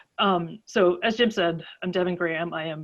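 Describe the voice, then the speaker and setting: A woman with an American accent speaks at a fairly low pitch with ordinary pitch variation. Behind her the background is quiet. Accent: Pittsburgh accent, mostly held back. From western Pennsylvania, near Pittsburgh. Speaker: advocacy director and scientist giving a talk. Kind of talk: online presentation. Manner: casual, with frequent fillers.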